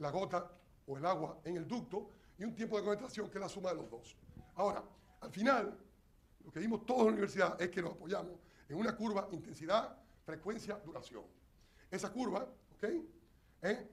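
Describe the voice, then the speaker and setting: In a room with audible echo, a man with a high pitch talks at a fairly quick pace, with ordinary pitch variation, big swings in loudness, and long, frequent pauses. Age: 60s. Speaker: engineer. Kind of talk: lecture. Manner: animated.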